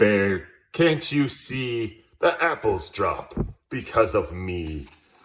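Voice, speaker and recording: A man puts on a character voice, delivering his lines very slowly at a medium pitch. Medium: read story. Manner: forceful, scolding.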